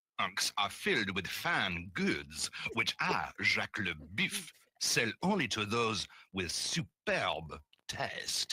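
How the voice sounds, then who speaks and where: A man puts on a character voice in a French accent, raspy and fairly low in pitch. He speaks at a very slow pace. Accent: exaggerated bad French. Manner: pompous, salesman-like.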